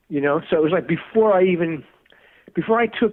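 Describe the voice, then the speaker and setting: A man speaks with a New York accent. His pace is fairly quick. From US Northeast (Brooklyn, New York). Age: 60s. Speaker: music producer and guitarist. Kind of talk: interview. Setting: podcast. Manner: casual, halting.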